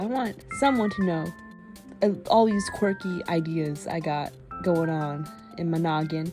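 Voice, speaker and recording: A quiet woman with lively intonation, music in the background. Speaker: digital artist. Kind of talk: casual commentary over speedpaint. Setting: home recording, low-quality microphone.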